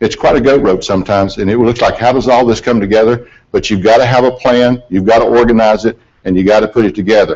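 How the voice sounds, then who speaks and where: Here is a man with a Southern US accent at a very fast pace. His medium pitch has fairly even intonation and very even loudness. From US South, mountains of western North Carolina. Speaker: aviation accident investigator. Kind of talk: presentation. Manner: folksy, conversational.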